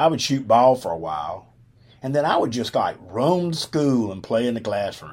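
On a very clean recording with a silent background, a man with a Southern US accent speaks with lively intonation. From Alabama. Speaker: podcast host, retired football coach. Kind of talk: storytelling monologue. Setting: studio.

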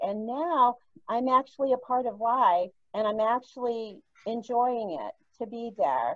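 A woman's fairly high voice at a very slow pace. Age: 60s. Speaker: nurse, cannabis patient. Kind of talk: personal testimony.

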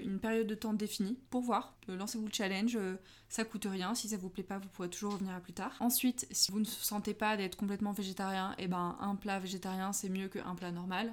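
A woman's unremarkable speaking voice at a medium pitch, fairly quick and with hardly any pauses, with fairly even intonation. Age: 20s. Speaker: art director in packaging design. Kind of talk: casual interview.

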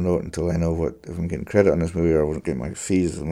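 A man with a Scottish accent and a very deep, low pitch in a dark, mellow tone, on a very clean recording with a silent background. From Scotland. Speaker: fiddler. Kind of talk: interview conversation.

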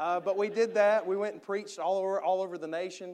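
A man speaks with a strong Southern US accent. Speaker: missionary preacher. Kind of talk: sermon. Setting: church.

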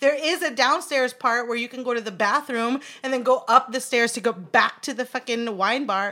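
Her tone is bright and sharp, and this woman's pitch is high. She talks at a fairly quick pace with hardly any pauses. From Anchorage, Alaska. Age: 30s. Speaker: podcast host. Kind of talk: casual chat, recap podcast.

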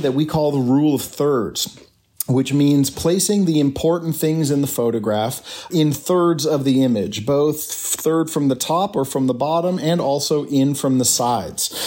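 A man speaks at a fairly high pitch with ordinary pitch variation and hardly any pauses. His loudness stays very even over noticeable background noise. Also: moderate pace. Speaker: tour guide and photographer. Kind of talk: casual interview. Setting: video call.

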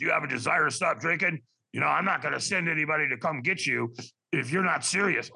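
A raspy, fairly high-pitched put-on character voice from a man, delivered at a very fast pace. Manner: blunt, no-nonsense.

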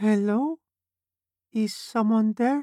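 The put-on character voice is squeaky and fairly high in pitch. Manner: tentative, questioning.

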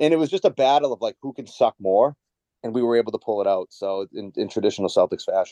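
In a Boston accent, a man talks at a very fast pace with a dry, close sound and no echo. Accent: Boston-area Massachusetts. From Massachusetts, Merrimack Valley. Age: 30s. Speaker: window salesman and real estate investor. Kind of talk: casual chat.

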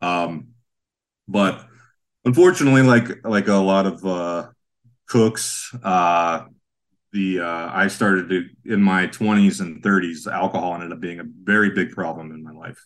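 In an American accent, a man speaks at a fairly slow pace with a very deep, low pitch. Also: ordinary pitch variation, big swings in loudness. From western Pennsylvania, Sharon. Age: 40s. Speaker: chef and breakfast cart owner. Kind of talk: casual interview chat.

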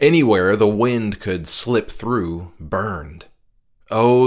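Ordinary pitch variation shows in the speaker's natural reading voice.

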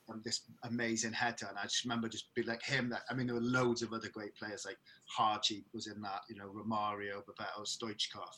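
A man's medium-pitched voice in a South Wales accent, monotone and flat in intonation. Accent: South Wales valleys. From Wales, the valleys (Merthyr Tydfil). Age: 30s. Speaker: rock band vocalist. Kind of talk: casual chat.

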